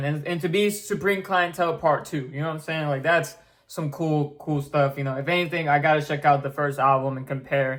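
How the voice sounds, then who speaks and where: Fairly high in pitch, this man's voice is heard. His intonation stays fairly even. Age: 20s. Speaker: music reaction youtuber. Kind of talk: casual reaction commentary. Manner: casual, halting with fillers.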